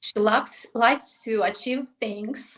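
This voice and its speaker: At a very slow pace, a woman with a non-native accent speaks in a fairly high pitch with ordinary pitch variation. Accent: foreign. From Moldova. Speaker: real estate agent. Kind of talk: podcast interview. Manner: halting.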